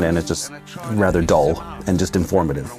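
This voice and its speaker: A man's very deep, low voice at a fairly quick pace, with ordinary pitch variation and music in the background. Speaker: voice actor. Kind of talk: interview answer.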